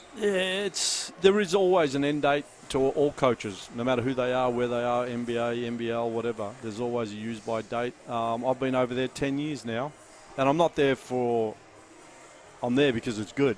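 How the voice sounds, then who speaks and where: A man speaks at a medium pitch. Noticeable background noise is present. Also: ordinary pitch variation, moderate pace. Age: 60s. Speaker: basketball coach. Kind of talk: courtside interview.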